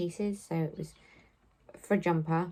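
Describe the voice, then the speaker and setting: A woman speaks with an English accent. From southwest England. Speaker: knitting podcaster. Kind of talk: casual chat. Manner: hesitant, many fillers.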